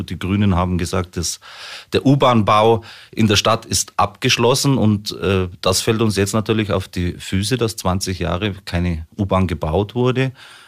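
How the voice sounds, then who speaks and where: The recording is very clean, with a silent background. A man speaks at a moderate pace and fairly low pitch, with ordinary pitch variation. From Munich, Bavaria. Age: 40s. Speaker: local politician and business owner. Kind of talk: radio interview. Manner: hesitant, frequent fillers.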